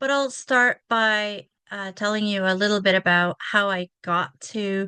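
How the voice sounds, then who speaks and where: Against a quiet background, a woman's medium-pitched voice has a bright, sharp tone, fairly even intonation and a dry, close sound with no echo. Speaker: speaker and accessibility tech coach. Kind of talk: conference presentation. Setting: video call.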